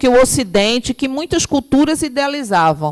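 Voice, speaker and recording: Over noticeable background noise, a woman with a high pitch talks at a moderate pace with lively intonation. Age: 50s. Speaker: spiritist lecturer. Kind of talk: lecture.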